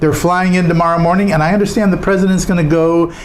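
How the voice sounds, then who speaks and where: With an American accent, a man is talking. Behind him there is noticeable background noise and audible room echo. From Southern California. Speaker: podcast host. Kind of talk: news commentary. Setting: studio. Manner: fast.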